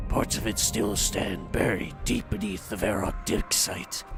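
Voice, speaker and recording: A man's put-on character voice at a fairly low pitch and moderate pace, with clear music in the background. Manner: imitation, self-admittedly imperfect.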